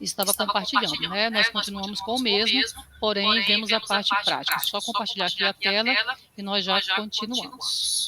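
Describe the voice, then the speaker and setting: A woman speaks in a monotone with flat intonation and very even loudness. Noticeable background noise can be heard. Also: medium pitch for a woman, moderate pace. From Brazilian Northeast. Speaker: university librarian instructor. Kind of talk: online training tutorial.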